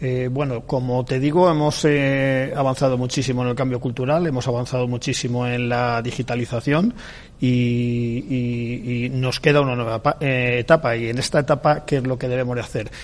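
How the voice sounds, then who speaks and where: A normal speaking voice from a man, medium in pitch, with fairly even intonation and a moderate pace. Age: 60s. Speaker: public sector IT manager. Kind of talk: radio interview. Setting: live broadcast from a library.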